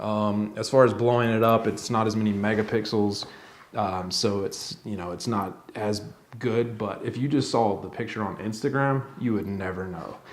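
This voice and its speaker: In a room with audible echo, a man with a fairly low pitch talks at a moderate pace, his intonation fairly even. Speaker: YouTuber reviewing camera gear. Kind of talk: casual tutorial to camera. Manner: halting, with fillers.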